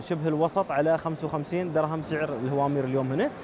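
A man's voice sounds dry with no echo. Noticeable background noise runs beneath it. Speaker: TV reporter. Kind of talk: commentary. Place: market. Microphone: handheld.

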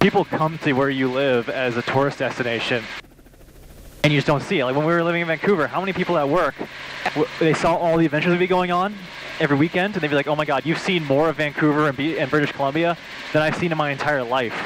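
A man talks very fast with very even loudness and ordinary pitch variation, the sound dry with no echo but with noticeable background noise. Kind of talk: casual vlog chat. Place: plane. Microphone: headset.

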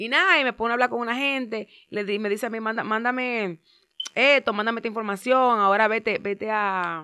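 A woman's fairly high voice, bright and sharp in tone, at a fairly quick pace, dry and close with no echo on a very clean recording with a silent background. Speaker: social media personality. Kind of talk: casual interview.

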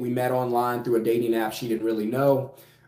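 A man at a medium pitch, with audible room echo. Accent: American. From South Louisiana. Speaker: finance YouTuber and business coach. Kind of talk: casual vlog monologue. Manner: conversational with filler words. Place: home room. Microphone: phone near.

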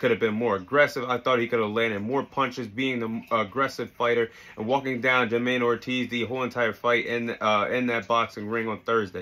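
A man speaks at a fairly quick pace with hardly any pauses. His tone is bright and sharp, with monotone, flat intonation. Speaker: sports commentator. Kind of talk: commentary. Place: home room. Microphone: earbuds.

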